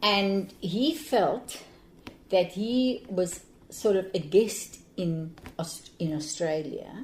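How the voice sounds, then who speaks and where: A woman talks very slowly in a medium pitch, somewhat breathy, with lively intonation and long, frequent pauses. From Cape Town, South Africa. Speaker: anti-apartheid activist, retired teacher. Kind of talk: interview answer.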